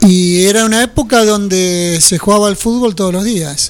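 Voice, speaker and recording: The speaker goes at a moderate pace over noticeable background noise. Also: man. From Buenos Aires province, Argentina (French, Nueve de Julio). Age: 60s. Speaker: former football player. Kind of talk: radio interview.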